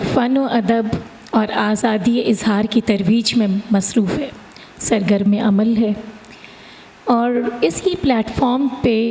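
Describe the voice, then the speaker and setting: Amid noticeable background noise, a woman speaks at a fairly high pitch with ordinary pitch variation. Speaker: event host and educationist. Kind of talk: event host introduction.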